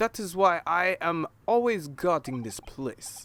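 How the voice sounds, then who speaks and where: A gruff put-on character voice at a fairly slow pace. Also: man, high pitch for a man. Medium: game stream. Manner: broken English, gruff.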